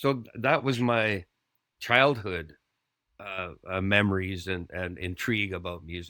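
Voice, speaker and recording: At a fairly slow pace, a man with a Canadian accent speaks in a fairly low pitch with ordinary pitch variation. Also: very clean recording, silent background. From western Canada, British Columbia (Squamish). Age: 60s. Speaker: musician. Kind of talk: casual interview chat. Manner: animated, rambling storytelling.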